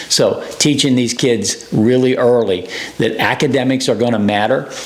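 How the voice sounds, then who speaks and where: Audible room echo and noticeable background noise surround a man's voice. He speaks at medium pitch with fairly even intonation. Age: 60s. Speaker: youth baseball coach. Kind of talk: coaching advice talk to camera. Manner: conversational, with many fillers.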